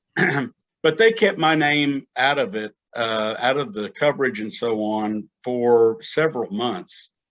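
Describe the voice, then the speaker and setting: Against a quiet background, an ordinary speaking voice with an American accent shows ordinary pitch variation. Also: man, medium pitch for a man, fairly slow pace. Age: 60s. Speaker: retired police officer. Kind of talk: interview conversation.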